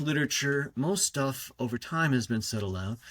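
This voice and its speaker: Pitched fairly high, a man speaks at a moderate pace with ordinary pitch variation on a very clean recording with a silent background. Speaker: language professor. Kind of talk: interview. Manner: halting; projecting, clear.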